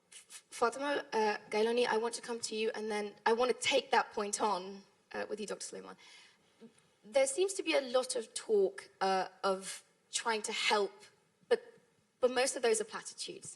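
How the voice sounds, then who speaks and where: With a British accent, a woman speaks at a moderate pace, taking long, frequent pauses as her loudness swings widely. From United Kingdom. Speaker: panel moderator, journalist. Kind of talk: panel discussion moderation.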